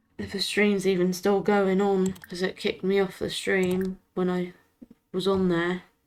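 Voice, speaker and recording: At a fairly slow pace, a woman speaks in a flat monotone at medium pitch. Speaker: gaming streamer. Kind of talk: live game commentary. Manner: quiet, hushed speaking.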